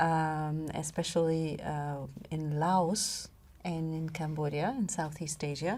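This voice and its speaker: In a room with audible echo, a woman talks at a very slow pace in a very deep, low pitch, her tone dark and mellow and her intonation fairly even. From Iran and Belgium. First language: Farsi, then French. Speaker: public health official. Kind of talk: podcast interview. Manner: hesitant, many fillers.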